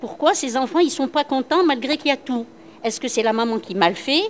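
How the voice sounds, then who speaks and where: At a moderate pace, a woman with a high pitch and lively intonation talks over noticeable background noise. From Algeria, Constantine. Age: 60s. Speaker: workshop participant, former school supervisor. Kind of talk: group discussion. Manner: hesitant, repetitive.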